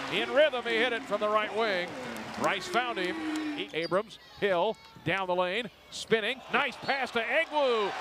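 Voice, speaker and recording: A man with a high pitch speaks in a raised, projected voice, animated in tone and lively in intonation, amid noticeable background noise. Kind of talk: live sports commentary. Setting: basketball game broadcast. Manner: rapid-fire play-by-play, animated, pitched up on big shots; chatty, laughs at odd plays.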